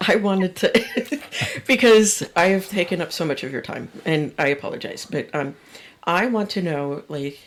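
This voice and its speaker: Speaking at a moderate pace and medium pitch, a woman uses lively intonation with big swings in loudness. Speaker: speech language pathologist. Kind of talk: casual chat. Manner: animated.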